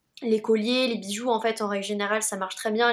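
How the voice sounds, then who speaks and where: Fairly high in pitch, a woman with a plain, everyday voice talks at a fairly quick pace with fairly even intonation. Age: 20s. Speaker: social media manager and content creator. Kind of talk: casual discussion.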